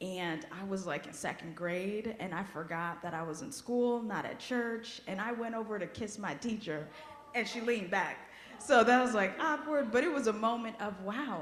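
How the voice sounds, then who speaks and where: A woman with a Haitian accent, fairly high in pitch, at a moderate pace and with lively intonation, amid noticeable background noise and audible room echo. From US-born child of Haitian immigrants. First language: Haitian Creole. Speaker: guest worship leader. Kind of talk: personal talk in a worship service. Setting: church service. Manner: conversational, emotional.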